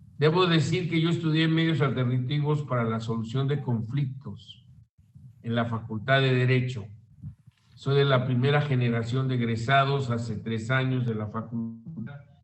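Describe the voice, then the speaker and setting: Audible room echo at a moderate pace. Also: man, medium pitch for a man, ordinary pitch variation. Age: 70s. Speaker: law professor and radio host. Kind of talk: lecture.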